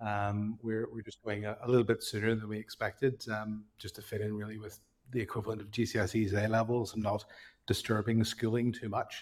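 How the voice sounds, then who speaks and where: On a very clean recording with a silent background, a man speaks in a fairly low pitch with monotone, flat intonation. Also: fairly quick pace. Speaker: cycling tech company co-founder. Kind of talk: casual interview chat.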